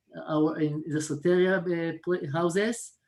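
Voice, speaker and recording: The speaker has an Israeli accent. The pace is very slow. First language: Hebrew. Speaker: mental health worker. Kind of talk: video call discussion. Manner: halting.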